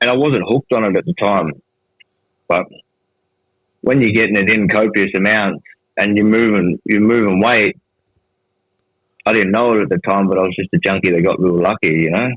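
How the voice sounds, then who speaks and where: A man's fairly low voice with an Australian accent, very even loudness, ordinary pitch variation, and a fairly quick pace marked by long, frequent pauses. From Darwin, Northern Territory, Australia. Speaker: former prisoner in recovery. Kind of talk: podcast interview answer. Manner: casual, profane.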